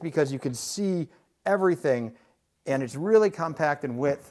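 Speaking at a moderate pace, a man is heard with a quiet background behind him. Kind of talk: home tour vlog. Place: kitchen.

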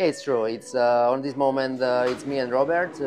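There is clear music in the background. A man speaks over it at a moderate pace. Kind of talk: interview answer. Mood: relaxed, pleased. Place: garage.

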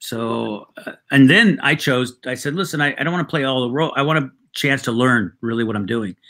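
Over a quiet background, a man speaks with a bright, sharp tone and ordinary pitch variation. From Mexican-American background. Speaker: writer, actor and comedian. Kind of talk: casual interview. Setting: video call. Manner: halting, repeated false starts. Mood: warm, reminiscing. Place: home room.

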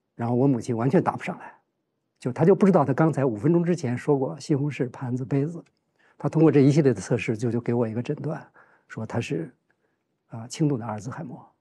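Speech comes at a very fast pace with big swings in loudness. The tone is dark and mellow, and somewhat breathy. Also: man, ordinary pitch variation. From China, Heilongjiang. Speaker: journalism professor and family caregiver; journalism professor. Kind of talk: casual chat. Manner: halting. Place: studio. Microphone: lapel.

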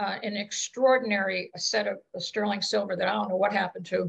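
Speaking with an American accent, a woman uses vocal fry at a fairly high pitch against a quiet background. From Scranton, Pennsylvania; Pennsylvania. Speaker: audience member. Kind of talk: personal anecdotes. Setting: video call. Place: home room. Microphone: video call.

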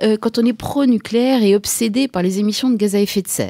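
The background is quiet and the sound is dry, with no echo. A woman is speaking. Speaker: radio show host from an activist collective. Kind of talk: radio commentary. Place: studio.

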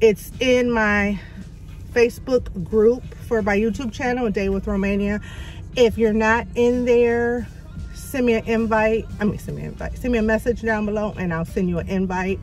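Faint music plays in the background as a woman speaks at a moderate pace with fairly even intonation, the sound dry with no echo. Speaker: vlogger. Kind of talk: casual vlog chat. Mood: somewhat shaken, subdued. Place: car. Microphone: phone near.

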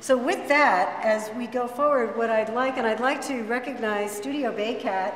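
Recorded with light background noise and audible room echo, a woman speaks at a moderate pace with fairly even intonation. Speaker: event host. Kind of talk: ceremony address. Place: classroom. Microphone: camera far.

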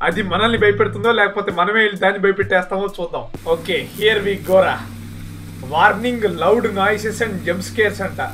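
An upbeat, high-pitched male voice with light background noise. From Andhra Pradesh, India. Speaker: YouTuber, gamer. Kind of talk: casual gameplay commentary. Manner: upbeat, joking. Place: home room. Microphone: webcam.

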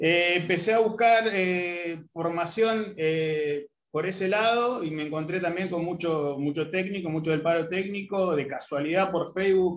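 Light background noise sits behind a man who talks at a fairly slow pace in a high pitch with fairly even intonation. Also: hardly any pauses. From Argentina. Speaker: sociologist. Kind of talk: self-introduction. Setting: video call. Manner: halting. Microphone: video call.

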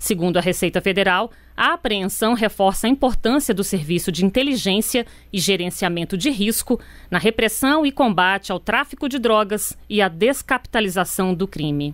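The recording is very clean, with a silent background. A woman with a plain, everyday voice talks at a medium pitch and a moderate pace, her intonation lively. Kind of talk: news reading. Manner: formal, steady, neutral newsreader delivery; brisk, even pacing, sober tone.

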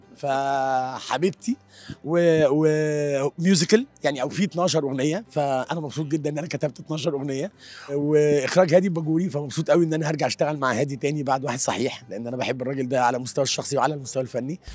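Speaking at a fairly quick pace, a man with a fairly high pitch and ordinary pitch variation sounds dry, with no echo. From Egypt. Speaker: screenwriter. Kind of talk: interview answer. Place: hall. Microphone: handheld.

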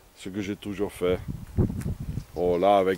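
Over light background noise, a man with a non-native accent speaks at a fairly low pitch in a dry sound with no echo. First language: not French (speaking French). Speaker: vagabond vlogger. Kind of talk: outdoor video diary. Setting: outdoors. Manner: halting. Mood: grumbling, opinionated. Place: open country. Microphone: phone near.

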